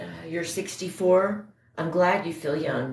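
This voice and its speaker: Speaking in a monotone with flat intonation, a woman sounds somewhat breathy. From Indiana, US Midwest. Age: 50s. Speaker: livestreamer. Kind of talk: casual chat. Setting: livestream.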